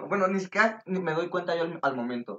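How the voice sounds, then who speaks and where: A man speaks in a high pitch with lively intonation. His pace is fairly quick. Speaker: podcast guest. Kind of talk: casual chat.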